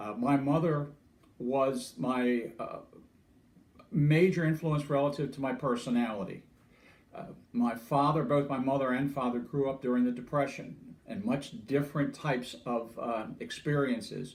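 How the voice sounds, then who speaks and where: A man with a fairly high pitch speaks amid audible room echo. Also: ordinary pitch variation, moderate pace. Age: 70s. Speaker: interviewee sharing life story. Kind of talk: personal monologue. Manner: halting, many fillers.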